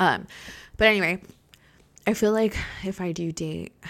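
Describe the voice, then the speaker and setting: A woman puts on a raspy character voice at a medium pitch. She keeps a moderate pace and fairly even intonation. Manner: casual, rambling.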